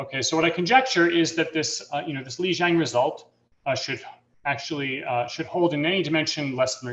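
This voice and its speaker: A man's fairly high-pitched voice with lively intonation at a fairly quick pace. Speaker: mathematician giving invited talk. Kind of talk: lecture. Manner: fast; halting, many fillers.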